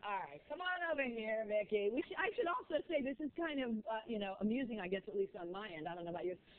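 Amid noticeable background noise, a woman races along at a very fast pace with hardly any pauses, her fairly high pitch moving in very wide swings. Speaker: TV morning news host. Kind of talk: TV morning show banter.

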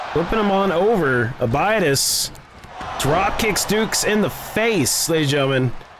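Over noticeable background noise, a man with a high pitch talks at a moderate pace in an animated tone with lively intonation. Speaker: wrestling commentator. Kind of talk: live wrestling commentary. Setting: video game wrestling commentary voiceover. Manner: animated, excitable play-by-play. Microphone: headset.

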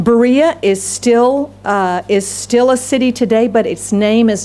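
Light background noise sits behind a woman speaking. She talks at a fairly slow pace with ordinary pitch variation. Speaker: pastor. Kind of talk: sermon. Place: church. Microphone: podium.

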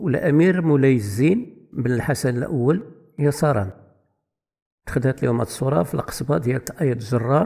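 A man speaks at medium pitch with lively intonation and a dark, mellow, somewhat breathy tone. His pace is fairly slow. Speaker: history channel presenter. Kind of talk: narrated history capsule.

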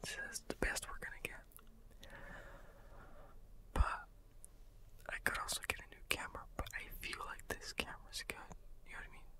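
Whispering, a man leaves long, frequent pauses. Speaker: ASMR channel host. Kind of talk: ASMR whispered ramble to camera. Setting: home studio, condenser microphone. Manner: whispered; casual, rambling. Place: home room. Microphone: studio mic.

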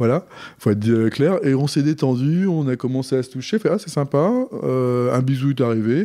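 Ordinary pitch variation runs through this man's medium pitch. His pace stays moderate. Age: 40s. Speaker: guest telling his life story. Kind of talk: personal testimony. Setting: host's living room. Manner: halting, many hesitations.

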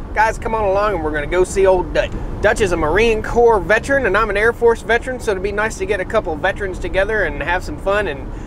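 At a very fast pace with hardly any pauses, a man talks with ordinary pitch variation in a dry sound with no echo, over noticeable background noise. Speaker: farm vlogger. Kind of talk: casual vlog chat. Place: car. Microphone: phone near.

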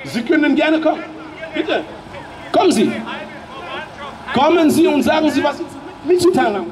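A man's extremely high-pitched, animated voice at a fairly quick pace, with ordinary pitch variation, long and frequent pauses, and crowd noise behind him. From Germany. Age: 40s. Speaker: political speaker; speaker. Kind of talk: public speech. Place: street. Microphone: handheld.

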